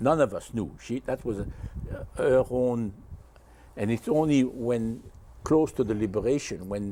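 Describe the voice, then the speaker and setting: Here a man with a Dutch accent talks at medium pitch. His tone is dark and mellow, his pace moderate. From Belgium. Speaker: war survivor. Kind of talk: interview.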